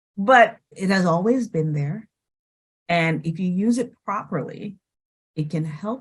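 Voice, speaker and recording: Her intonation is lively, and her medium-pitched voice is somewhat breathy. The woman talks at a fairly slow pace with long, frequent pauses. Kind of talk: testimonial conversation.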